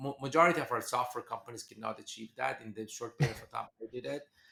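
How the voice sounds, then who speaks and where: A man with a Persian accent speaks very fast at medium pitch. His tone is bright and sharp. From Iran. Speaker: venture capitalist. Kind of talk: podcast interview.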